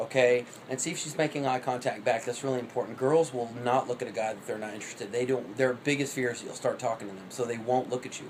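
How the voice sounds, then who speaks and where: The speech comes at a very fast pace with hardly any pauses, fairly even intonation, and big swings in loudness, over noticeable background noise. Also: man, medium pitch for a man. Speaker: vlogger. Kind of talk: casual monologue. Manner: rapid like an auctioneer.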